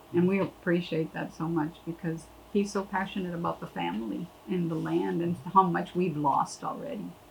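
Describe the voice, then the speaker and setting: Noticeable background noise sits behind a woman speaking at a moderate pace, her fairly low voice carrying lively intonation. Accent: American. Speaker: landowner. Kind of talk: interview.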